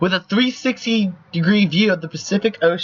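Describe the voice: With ordinary pitch variation, the speaker does plain reading aloud.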